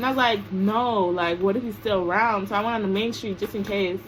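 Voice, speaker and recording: Mumbling at a fairly quick pace, a woman with an American accent speaks at medium pitch. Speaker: vlogger. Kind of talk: storytime vlog.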